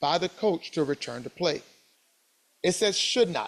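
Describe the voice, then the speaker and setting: The speaker is a man. His pitch shifts by ordinary amounts. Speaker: sports officiating instructor. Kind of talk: lecture. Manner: fast.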